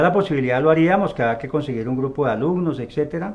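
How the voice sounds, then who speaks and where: A man speaks with an ordinary speaking voice at a fairly high pitch. His intonation is lively. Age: 60s. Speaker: retired army officer and polygraph expert. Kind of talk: interview.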